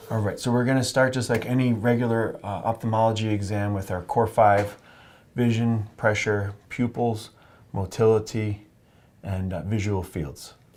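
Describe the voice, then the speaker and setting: On a very clean recording with a silent background, a soft-spoken man with a calm tone talks at a medium pitch with fairly even intonation. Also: moderate pace. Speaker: oculofacial plastic surgeon demonstrating an exam. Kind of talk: medical teaching demonstration to a patient. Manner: soft-spoken, calm, explanatory.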